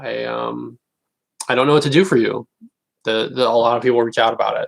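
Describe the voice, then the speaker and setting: A man at a moderate pace. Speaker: comedian. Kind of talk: casual livestream chat.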